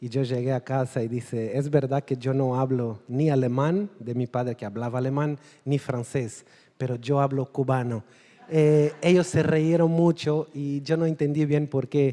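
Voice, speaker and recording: Someone speaks in a Portuguese accent at a moderate pace with fairly even intonation. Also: man. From Angola. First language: Portuguese (speaking Spanish). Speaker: novelist. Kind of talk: panel discussion at literary festival. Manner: halting, non-native Spanish.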